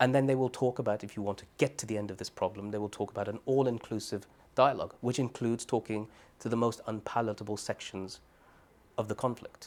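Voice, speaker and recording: A man with a Birmingham accent, talking at a very fast pace. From Birmingham, England. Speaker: human rights advocate, former Guantánamo detainee. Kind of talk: oral history interview answer.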